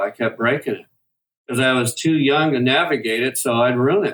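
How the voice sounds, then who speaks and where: This man has a Midwestern accent and a medium pitch. He talks at a moderate pace. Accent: American Midwestern. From US Midwest, Detroit. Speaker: guitar maker, product developer. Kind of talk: interview.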